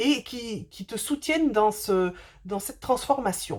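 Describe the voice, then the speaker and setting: A woman speaks in a somewhat breathy voice with lively intonation. The recording is very clean, with a silent background. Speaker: spiritual medium doing card readings. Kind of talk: tarot-style oracle reading to camera. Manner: fast; hesitant, many fillers.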